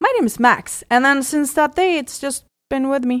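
In a Swedish accent, a woman talks at a moderate pace with a high pitch. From Sweden. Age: 30s. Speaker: bikini fitness champion. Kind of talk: casual chat.

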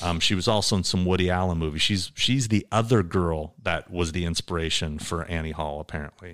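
A man with an American accent speaks with hardly any pauses in a very deep, low pitch with ordinary pitch variation, captured in a very clean recording against a silent background. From Southern California, Orange County. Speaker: personal appearance agent. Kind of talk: casual chat.

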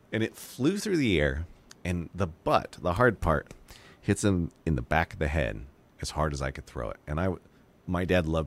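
A man with a very deep, low pitch, vocal fry and an animated tone, at a moderate pace. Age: 40s. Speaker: podcast producer. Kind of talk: casual chat.

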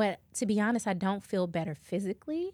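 In a very clean recording with a silent background, a woman uses an ordinary speaking voice at medium pitch with lively intonation. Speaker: podcast host. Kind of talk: casual chat.

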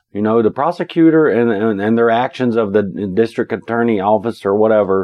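A man speaks with a Southern Appalachian accent. His pitch is medium and his pace moderate. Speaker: podcast co-host. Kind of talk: casual true crime podcast chat. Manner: joking, casual.

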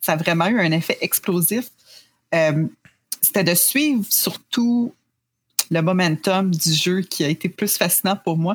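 A woman talks at a very slow pace, leaving long, frequent pauses. Her voice is somewhat breathy and medium in pitch, with ordinary pitch variation. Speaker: video game journalist. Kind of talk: podcast interview.

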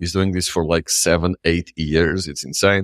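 A man speaks with a very deep, low pitch and fairly even intonation. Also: dry, close sound with no echo. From Portugal, Lisbon. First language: Portuguese. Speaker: nomad community founder. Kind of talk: interview. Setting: remote call.

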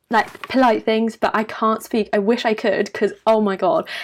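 With a British accent, a woman speaks at a fairly high pitch. Her intonation stays fairly even. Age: 20s. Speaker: university student and lifestyle YouTuber. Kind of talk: casual interview chat.

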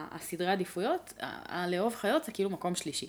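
Medium-pitched female speech with ordinary pitch variation. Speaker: product designer. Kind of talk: casual chat.

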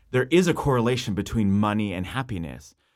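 On a very clean recording with a silent background, a man in an unremarkable speaking voice talks fairly quickly at a fairly low pitch with a Canadian accent. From western Canada (Abbotsford, British Columbia). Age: 30s. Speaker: pastor. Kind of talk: casual interview chat.

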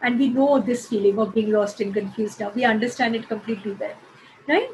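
A very fast delivery, ordinary pitch variation, and noticeable background noise behind it. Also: woman. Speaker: college vice principal. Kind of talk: interview.

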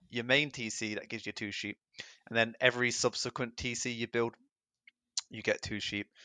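A man with an English accent speaks at a fairly quick pace and a medium pitch, with monotone, flat intonation and long, frequent pauses. His tone is bright and sharp, and the sound is dry and close with no echo against a quiet background. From England. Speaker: video game player and commentator. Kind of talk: casual chat and game analysis.

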